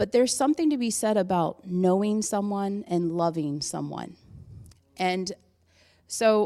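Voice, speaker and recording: In a very clean recording with a silent background, a woman with a normal speaking voice talks at a fairly slow pace at medium pitch with ordinary pitch variation. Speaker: church member giving testimony. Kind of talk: testimony. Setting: church with congregation.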